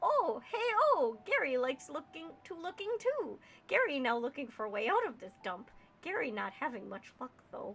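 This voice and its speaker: A woman performs a put-on character voice pitched high. She speaks at a moderate pace. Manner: gruff, third-person speech.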